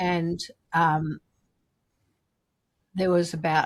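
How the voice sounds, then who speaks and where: A woman's very deep, low voice in an Australian accent. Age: 70s. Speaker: recovering alcoholic, memoir author. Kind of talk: interview, personal testimony. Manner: animated.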